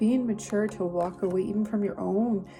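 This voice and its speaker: Over music in the background, a woman talks at a moderate pace. Her medium-pitched voice has monotone, flat intonation. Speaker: tarot reader. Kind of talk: tarot reading monologue. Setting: video recording.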